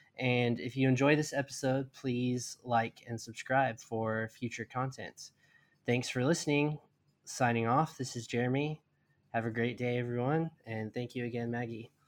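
On a very clean recording with a silent background, a man speaks at a moderate pace with fairly even intonation in an ordinary speaking voice. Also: medium pitch for a man. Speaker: podcast host. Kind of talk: interview. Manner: conversational, frequent backchannels.

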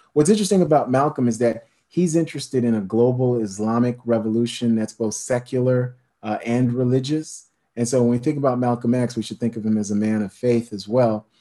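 A man speaks in an American accent with a dark, mellow tone and a medium pitch. His pace is fairly quick and his pitch variation ordinary. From New York City, Haitian family. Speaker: history professor and author. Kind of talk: interview, lecture-like explanation. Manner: animated.

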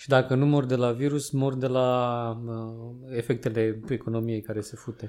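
A man's medium-pitched voice moves at a moderate pace, its intonation monotone and flat. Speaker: podcast co-host. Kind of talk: casual chat.

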